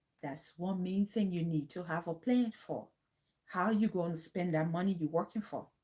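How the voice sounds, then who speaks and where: A woman speaks at a moderate pace with a fairly low pitch and ordinary pitch variation. Her tone is dark and mellow, somewhat breathy. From Liberia. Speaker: vlogger. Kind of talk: casual livestream talk. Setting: livestream at home. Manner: animated.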